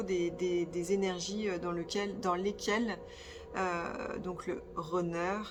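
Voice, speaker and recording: The woman talks fairly slowly while noticeable background noise and audible room echo fill the recording. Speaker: spiritual medium and energy therapist. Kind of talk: channelled spiritual guidance monologue. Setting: sitting on the floor, filming herself. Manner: hesitant, many filler sounds.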